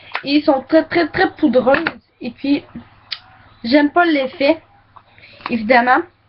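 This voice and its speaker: In a Quebec accent, a woman speaks at a very slow pace and a high pitch, with ordinary pitch variation. Her pauses are long and frequent. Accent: Québécois. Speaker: beauty vlogger. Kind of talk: makeup product review. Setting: webcam recording. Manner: casual, hesitant.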